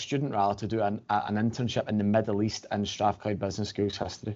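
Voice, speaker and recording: Speaking with a Glasgow accent, a man talks fairly quickly in a fairly low pitch. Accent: Glasgow Scottish. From Scotland, Glasgow. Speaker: financial services regional director. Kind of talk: podcast interview. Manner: hesitant, many fillers.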